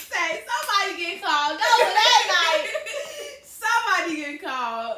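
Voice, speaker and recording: An extremely high-pitched woman's raised, projected voice in an animated tone, with very wide pitch swings, big swings in loudness and a fairly slow pace, amid noticeable background noise and audible room echo. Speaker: YouTuber and hair business owner. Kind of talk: casual Q&A chat.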